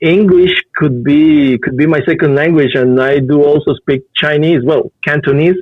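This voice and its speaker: A man in a Spanish accent, fairly high-pitched and at a moderate pace. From Costa Rica. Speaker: figure artist. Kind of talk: interview. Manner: halting.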